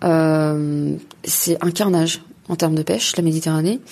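This woman speaks with a dark, mellow tone at a fairly low pitch. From Paris suburbs, France (Gennevilliers). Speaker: environmental activist, NGO president. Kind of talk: interview. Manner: hesitant with frequent fillers.

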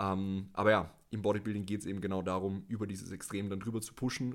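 A man's fairly low voice, fairly quick and monotone, with flat intonation. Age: 20s. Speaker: natural bodybuilder and former powerlifter. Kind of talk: casual podcast conversation. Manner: hesitant, many filler sounds.

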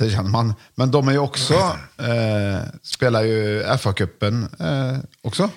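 A man with a normal speaking voice talks at a fairly slow pace with ordinary pitch variation in a very clean recording with a silent background. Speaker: podcast host. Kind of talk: casual chat.

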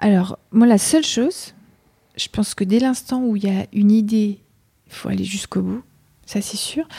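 Her tone dark and mellow, a woman speaks somewhat breathily with long, frequent pauses. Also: fairly high pitch for a woman, ordinary pitch variation, moderate pace. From France, Mayenne. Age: 40s. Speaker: entrepreneur. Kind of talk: interview. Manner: hesitant.

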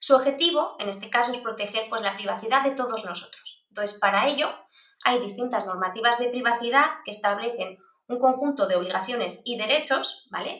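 Using a normal speaking voice, a woman talks at a fairly quick pace with ordinary pitch variation. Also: fairly high pitch for a woman. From Basque Country, Spain. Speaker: privacy expert and university lecturer. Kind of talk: interview.

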